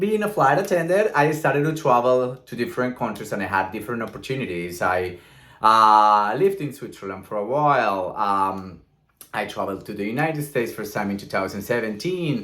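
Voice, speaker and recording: A man with a Colombian accent talks at a fairly quick pace and medium pitch, his tone bright and sharp. His pitch swings very widely, his loudness shifts a lot, and room echo is audible. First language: Spanish. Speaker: vlogger. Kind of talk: casual vlog monologue. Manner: talkative, smiling.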